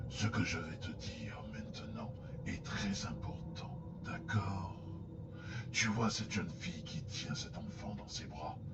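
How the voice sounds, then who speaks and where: A man whispers in a put-on character voice at a fairly slow pace. Loud background noise runs behind him. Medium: audio drama. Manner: serious.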